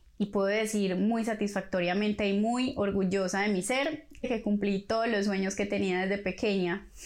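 A woman speaks at medium pitch with fairly even intonation. Her loudness is very even, and there are hardly any pauses. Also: moderate pace. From Colombia. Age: 30s. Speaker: podcast host. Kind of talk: personal monologue.

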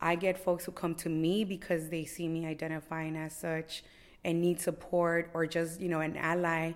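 A woman with an American accent speaks at a moderate pace in a fairly low, flat monotone, recorded very cleanly against a silent background. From Los Angeles, Boyle Heights. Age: 40s. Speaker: community activist. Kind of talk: interview. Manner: halting, many fillers.

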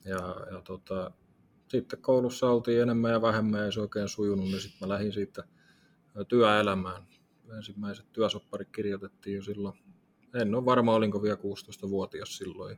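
A man's fairly low voice at a moderate pace, in a monotone, flat intonation. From Tampere region, Finland. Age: 30s. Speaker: fitness coach and entrepreneur. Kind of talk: casual interview. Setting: studio above a gym.

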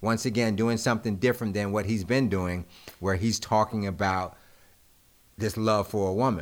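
The voice is an unremarkable speaking voice from a man with a fairly low pitch. He keeps a moderate pace and fairly even intonation. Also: very even loudness. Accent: American. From Greensboro, North Carolina. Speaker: music producer. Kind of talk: casual chat. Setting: studio.

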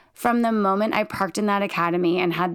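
A woman speaks in a plain, everyday voice at medium pitch, with ordinary pitch variation. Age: 40s. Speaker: police lieutenant. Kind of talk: casual chat. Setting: recording in a home closet.

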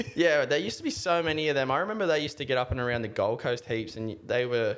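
A man speaks with an Australian accent. Noticeable background noise is present. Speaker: podcast co-host. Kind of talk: casual chat.

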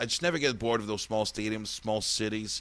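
A man with a French accent, animated in tone and very fast in pace. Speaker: podcast host, comedian. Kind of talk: casual chat. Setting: studio.

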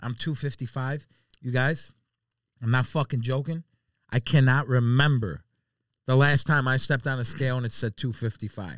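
A man with an American accent speaks in an animated tone at a medium pitch, with ordinary pitch variation. He leaves long, frequent pauses, and the recording is very clean with a silent background. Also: fairly slow pace. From Chicago. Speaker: food social media personality. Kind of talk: casual chat.

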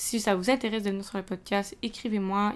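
At a moderate pace and with fairly even intonation, the speaker talks in a Quebec accent on a very clean recording with a silent background. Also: woman. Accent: Québécois French. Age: 20s. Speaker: student podcaster. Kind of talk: casual solo podcast talk. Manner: hesitant, many fillers.

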